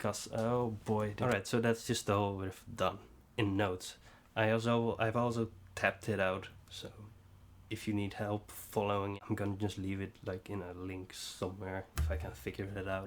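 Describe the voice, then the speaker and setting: In a Dutch accent, the monotone, flat delivery comes through on a very clean recording with a silent background. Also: man, fairly low pitch for a man, moderate pace. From Netherlands. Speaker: bass tutorial youtuber. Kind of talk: tutorial. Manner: halting.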